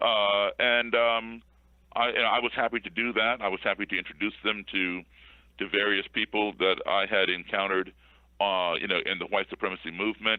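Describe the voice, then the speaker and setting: A man's fairly low voice comes out monotone, with flat intonation. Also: moderate pace. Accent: American. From Chicago, US Midwest. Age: 50s. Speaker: race relations activist. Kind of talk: interview. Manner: repetitive, stammering fillers.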